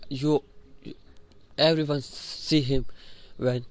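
At a very slow pace, a man with an Indian accent speaks at a fairly high pitch. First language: an Indian language (not English). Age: young (18). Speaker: student and podcaster. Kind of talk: personal monologue. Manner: halting, repeats words.

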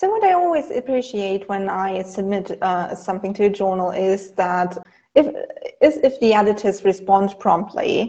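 A woman with a medium pitch and a dark, mellow tone speaks at a moderate pace with ordinary pitch variation. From Germany. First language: German. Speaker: academic writing instructor. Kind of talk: casual interview.

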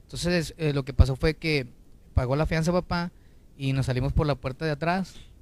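Speaking fairly quickly, a man keeps his intonation fairly even. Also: fairly high pitch for a man. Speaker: singer. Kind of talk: interview.

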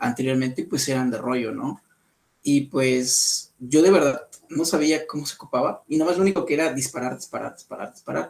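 This is an unremarkable speaking voice. It moves at a fairly quick pace. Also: man, fairly high pitch for a man, ordinary pitch variation. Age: 20s. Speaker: photographer. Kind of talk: interview.

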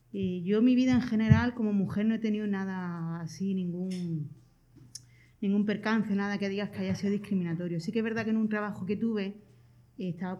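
Speaking at a fairly quick pace, a woman has a dark, mellow tone, medium pitch, and fairly even intonation. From Andalusia. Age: 40s. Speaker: community social worker. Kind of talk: interview.

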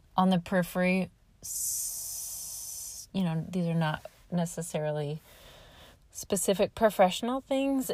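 Somewhat breathy and in an American accent, the voice moves at a very slow pace on a very clean recording with a silent background. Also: woman. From Nebraska, US Midwest. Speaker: podcast host and home health occupational therapist. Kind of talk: solo podcast monologue. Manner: halting.

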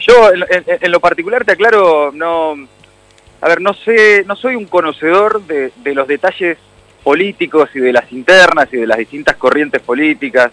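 Bright and sharp in tone, a man with a Rioplatense accent speaks at a moderate pace in a high pitch with lively intonation, the sound dry and close with no echo. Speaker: radio host. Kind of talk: casual interview chat.

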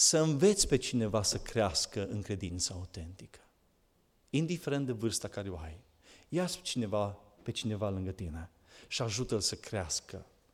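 This man has a fairly low voice and lively intonation. He talks at a moderate pace, with long, frequent pauses. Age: 40s. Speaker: preacher. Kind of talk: sermon.

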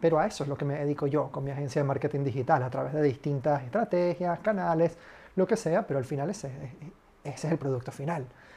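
A somewhat breathy man speaks at a very fast pace in a dark, mellow tone. His pitch is fairly high, with ordinary variation. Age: 20s. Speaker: podcast host, marketing consultant. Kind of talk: solo podcast monologue. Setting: home.

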